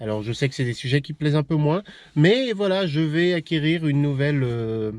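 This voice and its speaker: Over a quiet background, a man talks with lively intonation at a fairly high pitch. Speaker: YouTuber vlogging about camper van and old cars. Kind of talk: casual vlog talk to camera. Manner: fast, less articulated; hesitant with many fillers.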